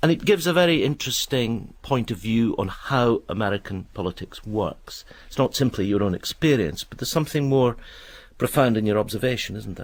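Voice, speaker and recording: A man with an unremarkable speaking voice and medium pitch talks at a fairly quick pace with lively intonation and big swings in loudness. The recording is very clean and the background silent. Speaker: radio presenter. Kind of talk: interview question.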